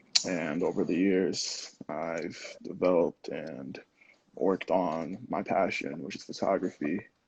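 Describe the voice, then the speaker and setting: With a New Jersey accent, a man speaks at a fairly slow pace. His pitch is very deep and low. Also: fairly even intonation, big swings in loudness. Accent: American, New Jersey. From New Jersey, US (born in Lagos, Nigeria, moved at six). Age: 20s. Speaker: photographer and engineer. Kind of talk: podcast interview.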